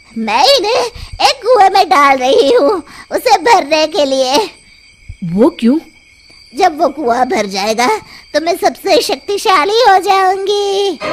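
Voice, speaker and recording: An extremely high, cartoonish character voice, raised and projected, at a fairly slow pace. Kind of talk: cartoon horror acting.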